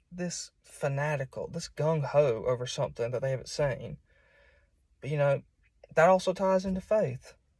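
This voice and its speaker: This man has a strong Southern US accent. He talks at a moderate pace with ordinary pitch variation. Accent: strong southern US, hillbilly. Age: 20s. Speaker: preacher. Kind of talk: informal sermon. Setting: self-recorded at home. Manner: halting, many repeats and fillers.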